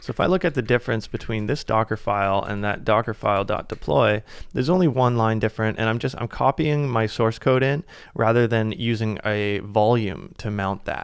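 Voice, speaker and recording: Very clean recording with a silent background. A man speaks fairly quickly at a medium pitch with ordinary pitch variation. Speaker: software tutorial creator. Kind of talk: tutorial. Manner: fast.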